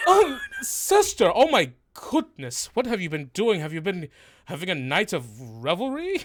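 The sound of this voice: A man's put-on character voice, high-pitched, with very wide pitch swings. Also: moderate pace.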